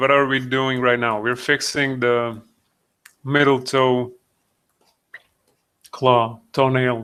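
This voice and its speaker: Speaking with a non-native accent in a bright, sharp tone, a man goes at a very slow pace with long, frequent pauses and monotone, flat intonation. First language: not English. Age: 30s. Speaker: digital sculptor, streamer. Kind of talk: live stream tutorial. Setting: live video stream. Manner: halting, many fillers.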